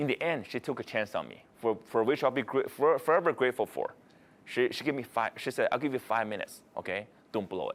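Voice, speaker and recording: At a very fast pace, a man speaks with ordinary pitch variation. His voice sits at a medium pitch. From China (Beijing). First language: Chinese (Mandarin). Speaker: motivational speaker. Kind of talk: keynote storytelling talk. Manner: halting, frequent repetitions and restarts.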